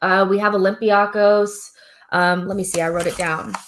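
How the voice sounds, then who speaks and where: An ordinary speaking voice with an American accent moves at a fairly slow pace. The recording is very clean, with a silent background. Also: woman. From United States. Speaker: football podcast host. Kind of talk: casual live stream talk, football preview.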